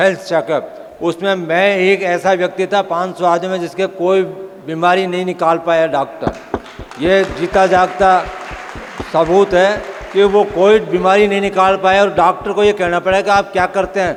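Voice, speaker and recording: Crowd noise fills the background behind a man. His high-pitched voice stays monotone and flat. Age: 70s. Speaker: retired transport worker, product distributor. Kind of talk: testimony. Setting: stage with audience. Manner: emphatic.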